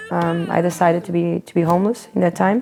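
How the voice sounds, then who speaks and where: Over noticeable background noise, a woman with a Portuguese accent talks at a fairly quick pace. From Portugal. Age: 30s. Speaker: street musician. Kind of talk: documentary interview.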